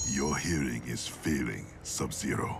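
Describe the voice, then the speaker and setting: Over loud background noise, a man does a cartoonish character voice at a fairly slow pace. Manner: gruff, terse.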